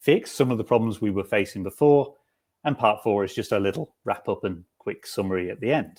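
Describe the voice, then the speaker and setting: This man with a British accent has a fairly low pitch and ordinary pitch variation. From UK. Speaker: software developer, conference speaker. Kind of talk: technical talk. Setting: video call from home.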